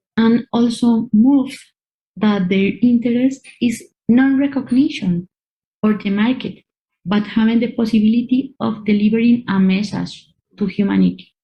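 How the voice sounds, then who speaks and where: Fairly high in pitch, this woman speaks with a non-native accent. Her voice is somewhat breathy, and her intonation fairly even. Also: moderate pace. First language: Spanish. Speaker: art curator. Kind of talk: online talk and Q&A.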